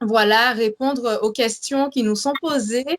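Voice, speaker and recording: Speaking at a very slow pace, a woman uses a high pitch with ordinary pitch variation, the sound dry and close with no echo. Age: 20s. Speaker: religious show co-host. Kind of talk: faith testimony and show introduction. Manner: hesitant, many fillers.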